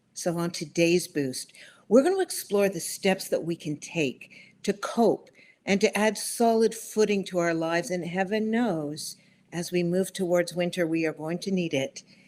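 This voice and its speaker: A woman with an unremarkable speaking voice talks at a moderate pace in a fairly low pitch. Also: ordinary pitch variation. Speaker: webinar host. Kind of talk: show host introduction.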